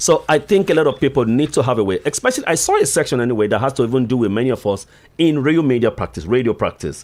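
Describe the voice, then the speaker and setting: A man with vocal fry at a fairly quick pace. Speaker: radio host. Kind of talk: radio interview. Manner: fast.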